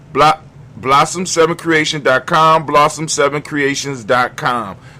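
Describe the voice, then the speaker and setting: The delivery has an animated tone at a fairly slow pace. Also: man. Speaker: livestream host. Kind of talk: casual livestream talk.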